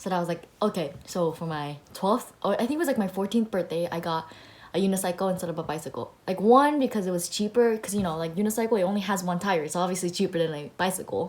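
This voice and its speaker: In a Japanese accent, a woman speaks at a very fast pace with a medium pitch and ordinary pitch variation. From Japan, then Australia and US. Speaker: personal finance vlogger. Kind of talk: casual chat. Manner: animated.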